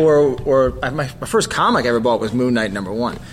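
Amid noticeable background noise, a man with an American accent talks at a moderate pace. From New Jersey. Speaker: comic book artist. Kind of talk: casual chat.

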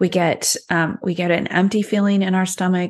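A woman with a plain, everyday voice speaks at a medium pitch and a moderate pace. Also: quiet background. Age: 40s. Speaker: health and weight loss coach. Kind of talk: interview conversation.

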